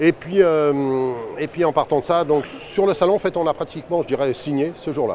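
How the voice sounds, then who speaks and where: Background noise clearly present under speech with ordinary ups and downs in pitch. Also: man. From northern France, Seine-et-Marne (Melun). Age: 60s. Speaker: franchise owner, shopkeeper. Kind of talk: interview testimony. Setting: trade fair. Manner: hesitant, many fillers and repetitions.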